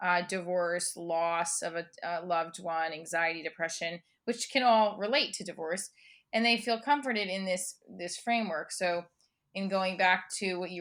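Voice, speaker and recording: With an American accent, a woman talks at a medium pitch and a moderate pace. Her pitch variation is ordinary, and the recording is very clean with a silent background. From New Jersey. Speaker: comedian, performer, educator. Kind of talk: interview answer. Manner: energetic.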